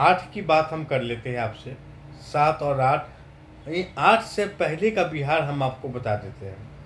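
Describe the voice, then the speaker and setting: A man's plain, everyday voice, fairly high in pitch, with big swings in loudness. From Bihar, India. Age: 30s. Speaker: vlogger. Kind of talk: political monologue.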